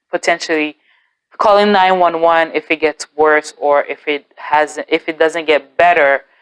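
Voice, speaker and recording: A woman speaks at a moderate pace with monotone, flat intonation, the sound dry and close with no echo. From Haitian background. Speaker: YouTuber. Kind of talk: testimony. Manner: casual, halting with fillers and repeats.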